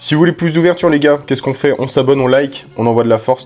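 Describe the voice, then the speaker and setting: A man speaks in an animated tone with lively intonation. Noticeable background noise is present. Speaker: Pokémon card YouTuber. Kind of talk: card opening chat. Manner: casual, animated.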